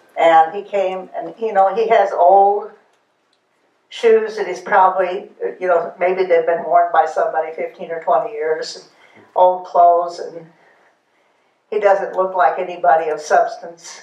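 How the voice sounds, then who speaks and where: With long, frequent pauses, a woman speaks at a fairly slow pace in a monotone, flat intonation, and the room echo is audible. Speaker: Bible class leader. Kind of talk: Bible study discussion. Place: meeting room.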